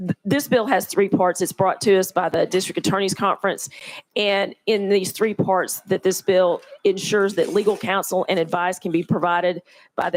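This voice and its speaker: A woman performs a put-on character voice, hoarse and medium in pitch, at a moderate pace. Her fairly even intonation sounds dry and close, with no echo. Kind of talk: formal legislative.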